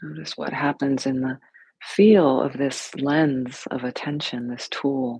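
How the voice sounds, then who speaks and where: A woman talks at a very slow pace. Her pitch is very deep and low, with ordinary pitch variation. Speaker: yoga and meditation teacher. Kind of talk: guided meditation. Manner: soft-spoken.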